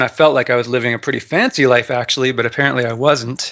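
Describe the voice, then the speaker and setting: A man with a Canadian accent, a medium pitch and a bright, sharp tone, at a fairly quick pace with fairly even intonation. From Canada. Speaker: personal finance blogger, retired engineer. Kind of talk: podcast interview.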